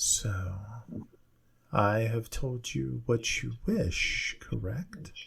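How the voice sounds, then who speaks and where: In a put-on character voice, a man talks at a very slow pace with long, frequent pauses. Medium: actual play. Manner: measured, cryptic.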